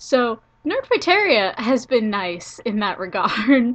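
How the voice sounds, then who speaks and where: Her voice is fairly high, and this woman has a bright, sharp tone. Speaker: college student. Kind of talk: casual talk to camera.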